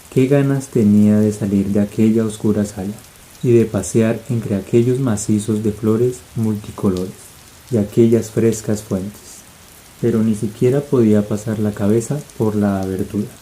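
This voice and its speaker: Over noticeable background noise, the speech runs at a moderate pace in a flat monotone. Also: man, fairly low pitch for a man. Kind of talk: audiobook-style ASMR reading. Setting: rain ambience in the background. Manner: soft, relaxing, sleep-inducing.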